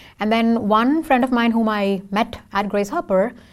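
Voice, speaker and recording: In a very clean recording with a silent background, a woman with an Indian accent talks at a fairly high pitch. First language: Tamil. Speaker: software engineer and singer. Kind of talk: casual interview.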